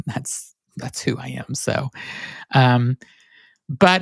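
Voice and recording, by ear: In a dry, close sound with no echo, a man speaks at medium pitch with a clear, smooth, nasal tone.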